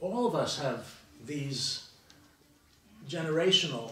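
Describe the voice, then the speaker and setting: A man's fairly high voice with lively intonation, audible room echo and noticeable background noise. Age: 70s. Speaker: historian on a panel. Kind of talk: round table discussion. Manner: halting, with many false starts.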